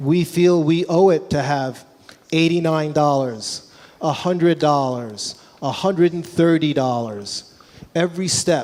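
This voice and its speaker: This speaker has a normal speaking voice in an American accent. The pace is fairly slow, with ordinary pitch variation. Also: man, fairly high pitch for a man. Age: 60s. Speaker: music retail executive. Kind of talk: Q&A talk at trade show. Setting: trade show stage with audience.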